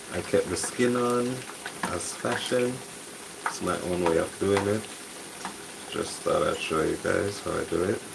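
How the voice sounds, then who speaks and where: Soft-spoken, a man talks at a fairly slow pace with long, frequent pauses, amid noticeable background noise and audible room echo. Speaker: home cook livestreaming. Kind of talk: casual cooking livestream. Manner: soft-spoken, talking low.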